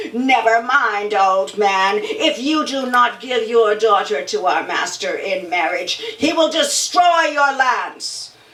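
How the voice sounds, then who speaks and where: Putting on a character voice, a woman speaks fairly slowly at a fairly high pitch with very wide pitch swings and a slight echo. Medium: stage play. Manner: menacing.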